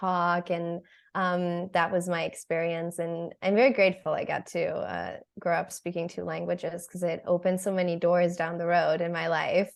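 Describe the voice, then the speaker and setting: With an American accent, a woman speaks at a moderate pace and a fairly low pitch over a quiet background. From Germany (Berlin), later Brussels. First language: German. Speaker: photographer. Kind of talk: interview. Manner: casual, frequent 'um' fillers.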